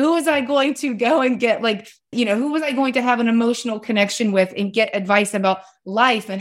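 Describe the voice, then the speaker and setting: An ordinary speaking voice from a woman in an American accent, fairly high in pitch at a moderate pace, with ordinary pitch variation, in a very clean recording with a silent background. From US South, West Virginia. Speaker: author and parenting advocate. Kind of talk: interview conversation.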